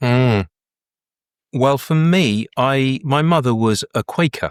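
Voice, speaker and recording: Lively intonation marks this voice with a southern English accent. The recording is very clean with a silent background, and the sound is dry and close with no echo. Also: man. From Brighton, southern England. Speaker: breathwork facilitator. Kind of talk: interview answer.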